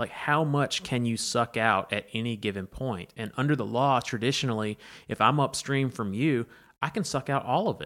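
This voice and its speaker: A man's medium-pitched voice with an Alabama accent, at a moderate pace and with ordinary pitch variation, on a very clean recording with a silent background. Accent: Alabama Southern US. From Alabama, Pike County (rural). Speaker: environmental campaigner. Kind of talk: interview conversation. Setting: in person, Troy, Alabama.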